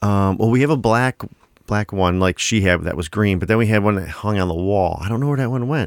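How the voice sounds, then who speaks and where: In a plain, everyday voice, a man speaks rather quickly. His voice is fairly deep and shows normal pitch movement. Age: 40s. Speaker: podcast co-host. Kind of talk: casual chat.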